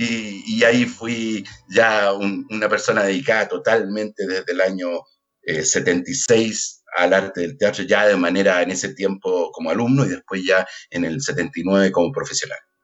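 An ordinary speaking voice from a man, fairly low in pitch, at a fairly slow pace with ordinary pitch variation. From Chile, Puente Alto (Santiago). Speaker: actor and theatre director. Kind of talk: casual chat.

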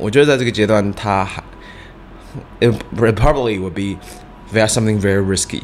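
Noticeable background noise behind a man speaking at medium pitch. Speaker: chef and fried chicken restaurant founder. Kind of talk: casual interview.

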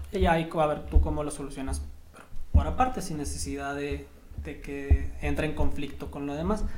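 Amid noticeable background noise and audible room echo, a man speaks at a moderate pace with big swings in loudness. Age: 20s. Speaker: engineer and teacher. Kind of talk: casual interview chat.

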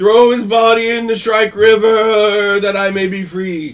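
Shouting in a put-on character voice, a man uses a high pitch at a fairly slow pace. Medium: actual play. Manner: hollow, solemn, demanding.

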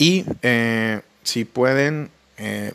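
On a very clean recording with a silent background, the speech shows ordinary pitch variation. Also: man. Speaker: podcast host. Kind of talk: casual monologue. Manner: halting.

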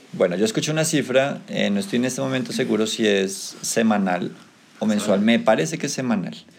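Over noticeable background noise and audible room echo, a man at medium pitch talks at a fairly quick pace with very wide pitch swings. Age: 30s. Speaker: teacher leading school podcast. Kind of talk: casual chat.

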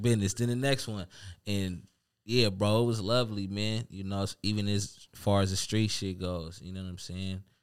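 A man's plain, everyday voice, fairly low in pitch, with fairly even intonation and a moderate pace. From Seattle, Central District. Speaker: rapper. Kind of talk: casual chat.

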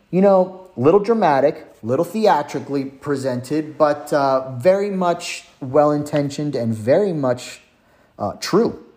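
Speaking at a fairly slow pace, a man uses lively intonation with a fairly high pitch. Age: 30s. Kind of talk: religious teaching monologue. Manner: hesitant with frequent fillers.

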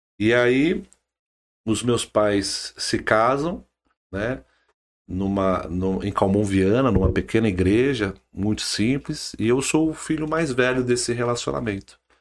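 The recording is very clean, with a silent background. A man speaks very slowly at a medium pitch, his intonation lively. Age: 40s. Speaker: politician, former city councillor. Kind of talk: podcast interview.

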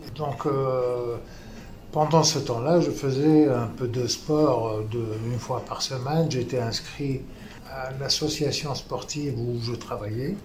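Audible room echo surrounds a man speaking very slowly. His medium pitch follows fairly even intonation. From Tunisia. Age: 70s. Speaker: retired banker, stroke survivor. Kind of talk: interview testimony.

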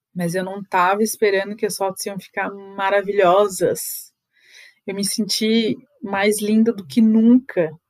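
Her intonation is fairly even and her pitch is medium. The woman talks at a fairly slow pace. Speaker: photographer and podcast host. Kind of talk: solo podcast monologue. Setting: home, seated on bed by the window.

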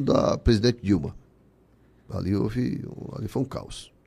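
A man speaking at a fairly slow pace. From Ceará, Brazil (Barro, interior). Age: 60s. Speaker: business owner and trade association leader. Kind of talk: casual interview.

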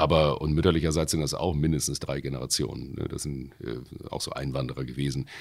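With hardly any pauses, a man with a very deep, low pitch and vocal fry talks at a fairly quick pace in fairly even intonation. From Hamburg, Wilhelmsburg. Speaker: bouncer and voice actor. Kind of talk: casual chat.

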